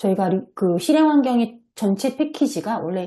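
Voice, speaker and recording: The tone is dark and mellow, the intonation lively. The pace is fairly quick against a quiet background. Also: woman. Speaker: software developer presenting at a seminar. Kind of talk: online seminar presentation with screen share. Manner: hesitant fillers.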